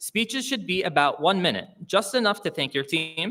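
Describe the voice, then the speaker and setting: A loud, high-pitched man with a bright, sharp tone and a Canadian accent. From Hamilton, Ontario, Canada. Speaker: awards show host. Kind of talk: live event hosting with comedy. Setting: stage with live audience, live-streamed. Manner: loud, projecting; animated, jokey.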